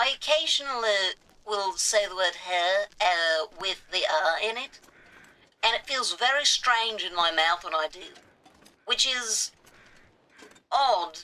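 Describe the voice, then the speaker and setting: The intonation is lively, and the pace is very slow. Long pauses come often. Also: woman, fairly high pitch for a woman, big swings in loudness. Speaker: gaming livestreamer. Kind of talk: live gameplay commentary. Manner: speaks in a put-on non-rhotic accent.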